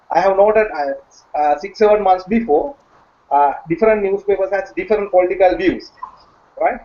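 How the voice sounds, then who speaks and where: Lively in intonation, a man talks at a moderate pace in a high voice. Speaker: professional, panel participant. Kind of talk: online panel discussion. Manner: halting, many fillers.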